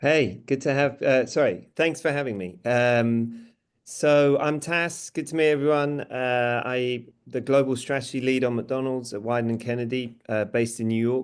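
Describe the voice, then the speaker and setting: This man speaks at a moderate pace. His pitch is medium and his intonation fairly even. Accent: British. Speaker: advertising strategist. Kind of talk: panel discussion.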